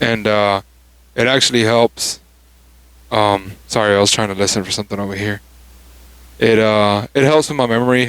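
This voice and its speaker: A man speaks quietly at a moderate pace, with a fairly low pitch and fairly even intonation. He leaves long, frequent pauses on a very clean recording with a silent background. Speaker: podcast host. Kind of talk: casual chat. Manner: halting.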